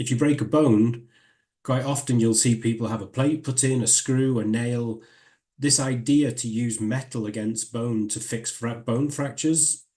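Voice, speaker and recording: A man speaks with a dark, mellow tone. His voice is somewhat breathy, and his intonation fairly even. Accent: northern English. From northern England. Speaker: professor. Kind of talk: lecture.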